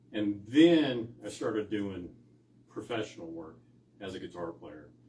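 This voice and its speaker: Fairly slow, somewhat breathy speech in a dark, mellow tone, with lively intonation and big swings in loudness. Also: man, fairly low pitch for a man. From San Francisco Bay Area. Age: 60s. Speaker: blues guitarist. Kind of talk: casual interview chat. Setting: rehearsal studio.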